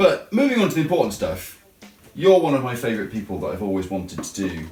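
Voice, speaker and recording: The speech runs at a very fast pace, with very wide pitch swings and big swings in loudness. Music plays in the background, and room echo is audible. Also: man, medium pitch for a man. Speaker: vlogger. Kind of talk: casual chat.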